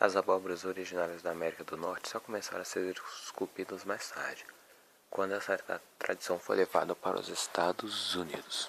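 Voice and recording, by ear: A man in a put-on character voice, hoarse, very deep and low in pitch, monotone and flat, at a fairly quick pace.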